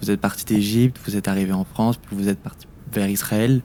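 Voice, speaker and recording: Delivery is at a moderate pace with fairly even intonation. The tone is dark and mellow. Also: man. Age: young, 19. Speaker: podcast interviewer, youth volunteer. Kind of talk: interview. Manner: stammering, false starts.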